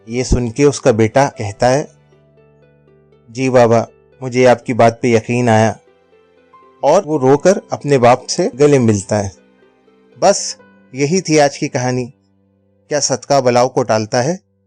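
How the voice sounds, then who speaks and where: Music plays in the background as a man at medium pitch speaks with ordinary pitch variation, in a dry, close sound with no echo. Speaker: storyteller, voiceover artist. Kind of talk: moral story narration for an animated video.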